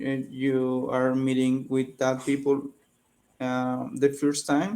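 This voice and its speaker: Dark and mellow in tone, a man with a Spanish accent speaks at a medium pitch. He goes at a very slow pace with fairly even intonation. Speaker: English learner. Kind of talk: casual chat. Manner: halting.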